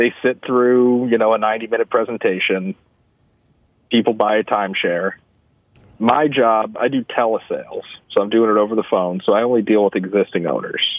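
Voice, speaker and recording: A man with an unremarkable speaking voice talks at a moderate pace and medium pitch, with fairly even intonation. His loudness stays very even against a quiet background. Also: dry sound with no echo. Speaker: timeshare salesman, caller. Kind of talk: casual chat. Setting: phone call. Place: studio.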